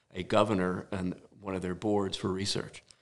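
Speaking at a fairly quick pace, a man with an American accent uses a very deep, low pitch and monotone, flat intonation. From New Jersey. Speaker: architect. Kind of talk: casual chat. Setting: home garage studio.

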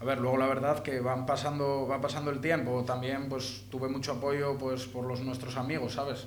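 A man speaks at a moderate pace in a medium pitch with flat, monotone intonation. Noticeable background noise and audible room echo fill the recording. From Asturias, Langreo. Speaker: rapper. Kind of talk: casual interview. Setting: radio studio.

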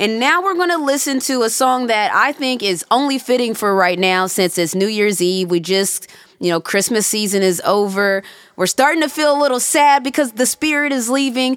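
A woman's fairly high-pitched voice with very wide pitch swings and very even loudness, at a moderate pace over noticeable background noise. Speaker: podcast host. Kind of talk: casual chat.

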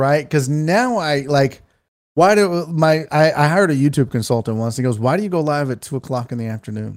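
Over a silent background in a very clean recording, a man with a fairly high pitch talks at a fairly quick pace with lively intonation. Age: 40s. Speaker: sports talk streamer. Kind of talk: casual chat. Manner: animated.

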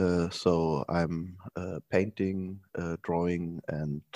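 A man's voice comes across close and dry, free of any echo, in a very clean recording against a silent background. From Germany, Saarland. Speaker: artist and project space organizer. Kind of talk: interview. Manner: halting, many fillers.

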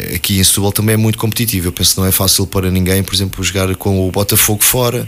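Fairly quick speech from a man with a fairly low pitch and fairly even intonation, over noticeable background noise. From Portugal, Alverca (Lisbon area). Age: 40s. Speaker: football coach, former player. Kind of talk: radio interview. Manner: hesitant, many fillers and repetitions.

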